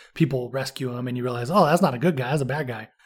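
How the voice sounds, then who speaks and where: Somewhat breathy and animated, a man speaks at a very fast pace. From California. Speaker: movie podcast host. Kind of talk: casual chat. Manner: animated, laughing often.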